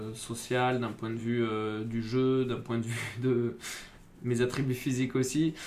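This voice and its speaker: A man at a fairly slow pace and medium pitch, with noticeable background noise. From southwest France, Bordeaux. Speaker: rugby player. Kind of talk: interview conversation. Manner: hesitant, many fillers and repetitions.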